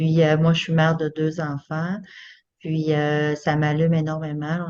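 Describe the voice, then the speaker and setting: Delivered at a fairly slow pace, the speech has a monotone, flat intonation. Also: woman. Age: 50s. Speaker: home business seller. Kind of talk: self-presentation in online panel.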